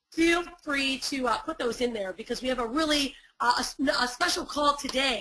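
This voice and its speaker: Her voice is raised and projected, high-pitched for a woman, and bright and sharp. She sounds animated throughout. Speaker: online marketing coach. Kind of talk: webinar workshop. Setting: live webinar. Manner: fast.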